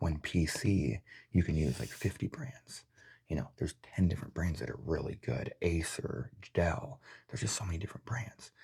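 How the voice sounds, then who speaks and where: Soft-spoken, relaxed delivery at a moderate pace. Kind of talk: soft-spoken ASMR unboxing review. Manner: soft-spoken, relaxed rambling.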